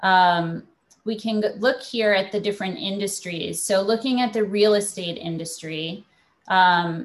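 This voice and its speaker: At a fairly slow pace, an ordinary speaking voice rises and falls with ordinary pitch variation. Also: woman. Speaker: startup founder. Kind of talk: panel discussion. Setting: video call.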